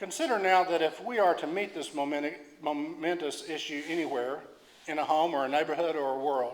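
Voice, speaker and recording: A man with an Oklahoma accent speaks at a fairly quick pace and a fairly high pitch. Audible room echo is present. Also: ordinary pitch variation. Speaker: preacher. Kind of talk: sermon reading aloud. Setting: church. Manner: halting with repetitions.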